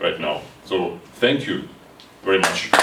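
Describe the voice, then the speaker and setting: A man with a Ukrainian accent speaks at a moderate pace. Audible room echo and noticeable background noise fill the recording. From Ukraine. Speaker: board game designer. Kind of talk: conference talk. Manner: halting.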